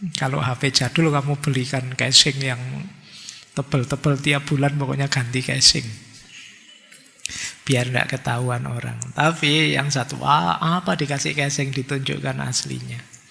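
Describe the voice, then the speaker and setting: Delivered at a moderate pace with fairly even intonation, the speech comes through noticeable background noise. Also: man, medium pitch for a man. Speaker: philosophy lecturer. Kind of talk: lecture. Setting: hall with audience, microphone. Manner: casual.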